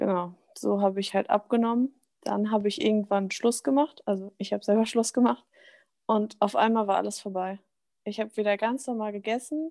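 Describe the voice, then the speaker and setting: A woman talks at a fairly quick pace with a dark, mellow tone. Her pitch sits fairly high. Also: ordinary pitch variation, dry, close sound with no echo. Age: 20s. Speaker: bodybuilding figure athlete. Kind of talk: casual chat. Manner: animated.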